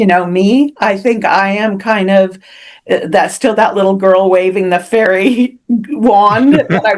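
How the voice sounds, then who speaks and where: A woman speaks in a West Coast accent. Her pace is very slow. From US Pacific Northwest, Seattle. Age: 70s. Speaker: author. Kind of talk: interview. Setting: podcast interview. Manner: halting.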